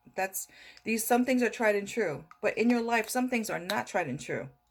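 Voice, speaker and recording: The speaker talks at a fairly quick pace with vocal fry and ordinary pitch variation. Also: woman. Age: 60s. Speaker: motivational vlogger. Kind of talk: motivational talk to camera. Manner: repetitive, conversational.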